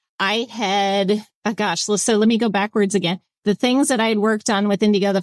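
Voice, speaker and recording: A woman talks at a moderate pace in a medium pitch with ordinary pitch variation and a plain, everyday voice. The sound is dry and close, with no echo. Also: very clean recording, silent background. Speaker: transit agency executive. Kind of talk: interview.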